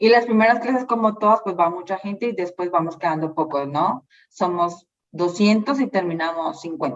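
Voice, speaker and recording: A woman speaks at a moderate pace in a medium pitch. Her intonation is lively. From Colombia, Bogotá. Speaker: social worker and labor relations graduate. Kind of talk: interview.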